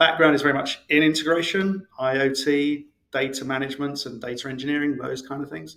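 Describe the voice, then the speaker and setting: Talking at a very fast pace, a man speaks with a British accent. His pitch varies in an ordinary way. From UK. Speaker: integration expert, author. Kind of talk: podcast interview. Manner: hesitant, many fillers.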